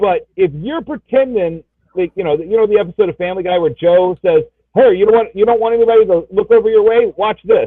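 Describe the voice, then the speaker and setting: The speech is loud and very fast, with ordinary pitch variation. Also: man, high pitch for a man. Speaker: comic book show panelist. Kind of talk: casual chat.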